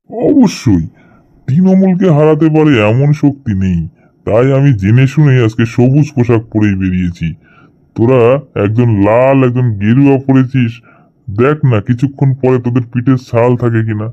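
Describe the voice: A man speaks in a cartoonish character voice at a moderate pace, with medium pitch and ordinary pitch variation.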